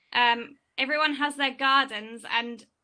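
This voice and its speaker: Her tone bright and sharp, a woman with an English accent speaks at a high pitch in a monotone, flat intonation. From England. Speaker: student in audience. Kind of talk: Q&A discussion. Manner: fast.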